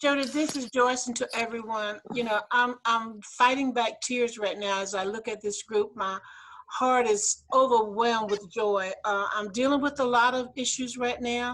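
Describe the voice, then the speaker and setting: With an American accent, a woman speaks at a moderate pace in a fairly high pitch with fairly even intonation. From US South, South Carolina. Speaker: former legislator, award community member. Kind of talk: emotional thank-you speech on video call.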